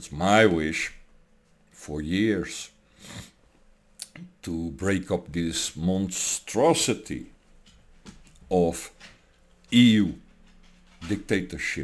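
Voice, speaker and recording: A man with a very deep, low pitch and a non-native accent speaks at a very slow pace with long, frequent pauses. His loudness swings widely, while his pitch variation stays ordinary. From Europe. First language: not English. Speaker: political commentator. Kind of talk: political rant. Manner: animated.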